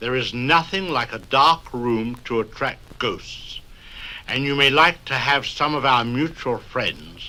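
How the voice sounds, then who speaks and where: A man with an unremarkable speaking voice at a medium pitch and a fairly slow pace. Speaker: host introducing stories. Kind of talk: spoken-word record introduction for children. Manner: droll, mock-sinister.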